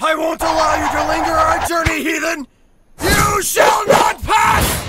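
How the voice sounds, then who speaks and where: A man shouts in a cartoonish character voice. His pitch is extremely high. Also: moderate pace. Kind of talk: comedic anime fan dub. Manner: exaggerated, grandiose.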